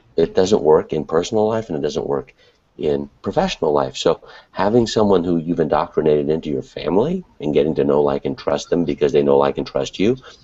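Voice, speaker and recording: A man speaks at a fairly quick pace with a very deep, low pitch. His dark, mellow tone has vocal fry. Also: ordinary pitch variation. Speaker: webinar co-host, internet marketer. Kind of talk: casual panel discussion. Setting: online video hangout from an apartment at night. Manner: quiet, hushed.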